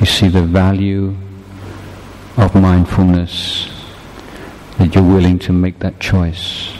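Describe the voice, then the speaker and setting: Noticeable background noise sits under a man's very deep, low voice with a calm tone. He talks at a very slow pace in a monotone, flat intonation, with long, frequent pauses. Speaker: meditation teacher. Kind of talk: guided meditation. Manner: slow, calm, measured; soft-spoken, instructive, with pauses.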